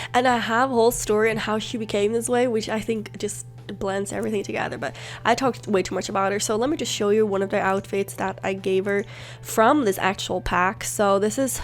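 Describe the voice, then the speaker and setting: Music plays in the background as a woman talks at a fairly quick pace. Her intonation is lively. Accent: non-native. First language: not English. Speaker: gaming YouTuber. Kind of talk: let's play commentary. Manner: chatty, rambling with self-corrections.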